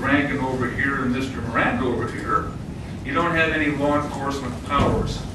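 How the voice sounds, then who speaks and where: Loud background noise and audible room echo fill the recording. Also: man. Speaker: public commenter. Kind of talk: public comment speech. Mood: defiant, forceful. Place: hall.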